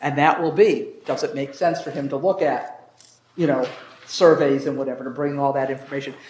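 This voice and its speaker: Fairly quick speech with fairly even intonation, noticeable background noise and audible room echo. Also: man, fairly high pitch for a man. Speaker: zoning commission member leading meeting. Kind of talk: public meeting discussion. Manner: fast.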